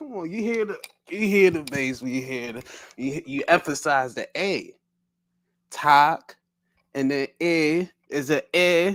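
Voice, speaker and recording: An animated, fairly slow delivery in a Baltimore accent, with long, frequent pauses, on a very clean recording with a silent background. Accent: Baltimore accent, merged T's and D's. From US, Baltimore. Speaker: podcast co-host. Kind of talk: casual chat.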